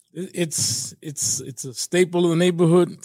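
A man talks at a moderate pace in a dark, mellow tone, the sound dry and close with no echo. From New York, Puerto Rican family. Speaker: stage actor. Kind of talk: casual interview. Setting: studio. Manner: halting, repeats words.

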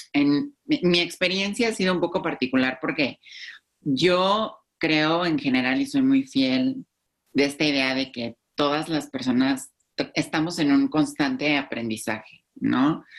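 A woman's very deep, low voice with lively intonation at a fairly slow pace. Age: 20s. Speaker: YouTube influencer. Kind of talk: podcast interview.

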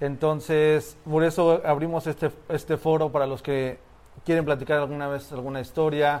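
It is an ordinary speaking voice: a man with a fairly high pitch, talking at a moderate pace with fairly even intonation. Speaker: graffiti storyteller, podcast co-host. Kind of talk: storytelling.

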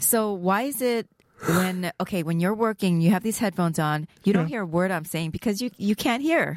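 A woman's plain, everyday voice at medium pitch, with ordinary pitch variation and a moderate pace, in a dry, close sound with no echo. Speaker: podcast co-host.

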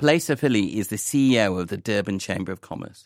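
A man with a normal speaking voice and a fairly low pitch talks at a fairly quick pace with lively intonation. The recording is very clean with a silent background and a dry, close sound with no echo. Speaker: radio host. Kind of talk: news programme presenting. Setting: studio.

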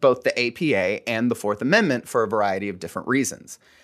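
This is a plain, everyday voice: a man with a medium pitch and lively intonation. He talks at a fairly quick pace over a quiet background. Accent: American. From Florida (Fort Myers). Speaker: attorney. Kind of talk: casual chat.

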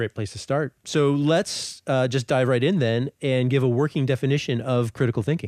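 With hardly any pauses, a man talks in an ordinary speaking voice of medium pitch and ordinary pitch variation, the sound dry and close with no echo. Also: moderate pace, very even loudness, quiet background. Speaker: podcast host. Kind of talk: interview.

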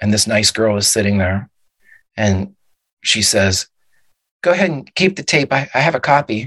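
A man at a moderate pace with lively intonation and long, frequent pauses, in a dry, close sound with no echo against a quiet background. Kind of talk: dramatic narration.

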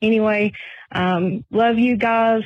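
The speaker has a Southern US accent. The intonation stays fairly even. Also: woman. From Tennessee. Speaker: truck driver, listener caller. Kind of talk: voicemail message.

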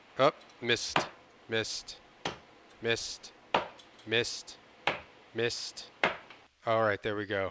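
A man with a medium pitch talks very slowly, pausing long and often. Noticeable background noise sits behind him. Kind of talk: morning-radio DJ patter, mock traffic report with a crude joke, sign-off. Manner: breezy, jokey and animated, with a playful drive-time DJ cadence and easy laughter.

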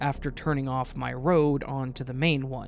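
A moderate pace on a very clean recording with a silent background. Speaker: guest story reader. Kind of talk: reading aloud a story.

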